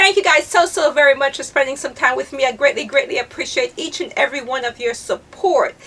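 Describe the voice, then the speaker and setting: A woman uses a raised, projected voice with lively intonation. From Jamaica. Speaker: fashion vlogger. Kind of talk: casual chat. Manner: fast.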